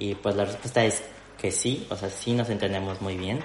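In a room with audible echo, a man talks fairly slowly at a fairly low pitch. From Mexico City. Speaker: video producer and youtuber. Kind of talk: interview conversation.

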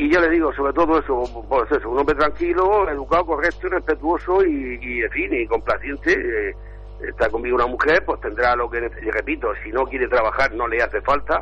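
A man speaks fairly quickly. Behind him, music plays. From Spain. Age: 60s. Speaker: caller. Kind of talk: live phone-in.

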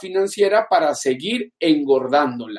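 The man's intonation is lively as he speaks. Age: 30s. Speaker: financial coach. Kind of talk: livestream talk. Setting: livestream.

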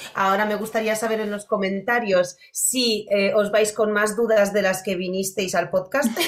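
Over noticeable background noise, a woman with a Polish accent speaks at medium pitch and a moderate pace in a monotone, flat intonation. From Poland. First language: Polish (speaking Spanish). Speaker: podcast host, dog behaviour. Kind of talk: interview.

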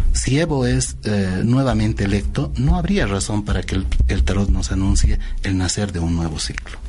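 With audible room echo and noticeable background noise, the voice moves at a moderate pace through very wide pitch swings. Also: man, very deep, low pitch for a man. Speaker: tarot reader and political forecaster. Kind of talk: radio interview. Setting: radio studio.

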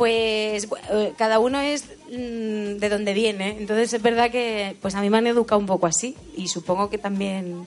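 Hardly pausing, a woman talks with fairly even intonation. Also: fairly high pitch for a woman, moderate pace. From Spain, Albacete, Sierra del Segura village. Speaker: singer. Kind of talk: casual chat. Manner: halting.

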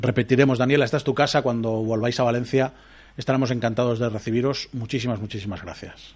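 A man at medium pitch talks at a very fast pace. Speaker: radio host. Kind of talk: casual chat. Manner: animated.

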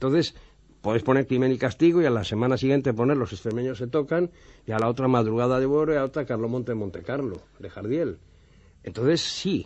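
In a plain, everyday voice, a man talks at a fairly quick pace and medium pitch with ordinary pitch variation. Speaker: TV director. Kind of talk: anecdotal radio chat. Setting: radio studio.

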